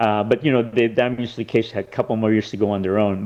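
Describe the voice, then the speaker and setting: Against a quiet background, a man talks in a Californian accent. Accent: Californian American. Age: 60s. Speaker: actor, lawyer and film director. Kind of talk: interview.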